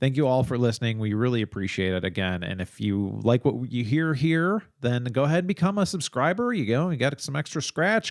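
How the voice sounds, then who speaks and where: On a very clean recording with a silent background, a man with an American accent talks at a fairly quick pace and medium pitch, his pitch swinging very widely. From Chicago suburbs, US Midwest. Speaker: true crime podcast co-host. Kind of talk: casual chat.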